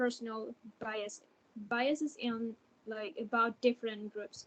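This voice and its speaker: A woman with a fairly high pitch. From Thailand. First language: Thai. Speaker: university student. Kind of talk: interview. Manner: halting, many fillers.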